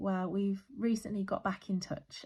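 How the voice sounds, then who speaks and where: A woman with an English accent and a somewhat breathy voice. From West Midlands, UK. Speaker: budgeting vlogger. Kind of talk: casual talk to camera.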